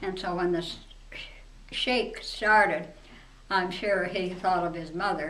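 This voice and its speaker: A woman with an American accent talks at a fairly slow pace, her medium pitch held in fairly even intonation, with long, frequent pauses. Audible room echo and noticeable background noise fill the recording. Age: 90s. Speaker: eyewitness interviewee. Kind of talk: interview reminiscence. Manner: halting.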